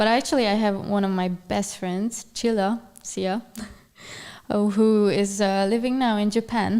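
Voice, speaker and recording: In a Hungarian accent, a woman with a medium pitch and a dark, mellow tone speaks fairly slowly in a flat monotone. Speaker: journalist. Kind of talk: casual chat. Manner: halting.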